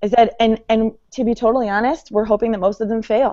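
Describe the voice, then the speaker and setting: With a normal speaking voice, a woman talks at medium pitch and a moderate pace. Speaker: school leader and podcast co-host. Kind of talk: casual chat. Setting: online call.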